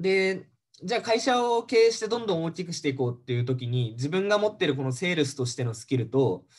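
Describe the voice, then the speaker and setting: Fairly quick pace, very wide pitch swings, and a quiet background. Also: man. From Japan. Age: 30s. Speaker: MBA student, former securities salesman. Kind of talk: casual interview, explaining. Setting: video call. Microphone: video call.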